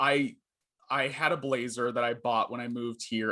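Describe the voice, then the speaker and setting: Loud male speech, medium in pitch, bright and sharp in tone, with fairly even intonation over a quiet background. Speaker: journalist. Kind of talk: casual interview.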